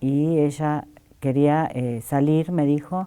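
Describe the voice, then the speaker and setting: A woman with a very deep, low, dark and mellow voice speaks very slowly in a very clean recording with a silent background. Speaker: interviewee searching for biological relative. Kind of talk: testimony. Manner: halting.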